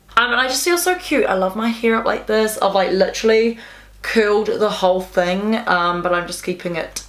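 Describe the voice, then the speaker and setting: A woman speaks at a moderate pace and medium pitch, with ordinary pitch variation and audible room echo. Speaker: makeup youtuber. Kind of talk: makeup tutorial.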